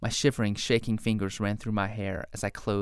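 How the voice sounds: The recording features a natural reading voice.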